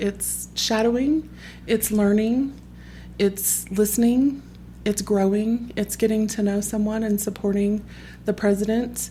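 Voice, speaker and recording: A somewhat breathy voice with a dark, mellow tone and an American accent. The intonation stays fairly even, and the recording is very clean with a silent background. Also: woman. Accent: Southern, comes out around other Southerners. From Texas. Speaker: parent association leader. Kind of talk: podcast interview.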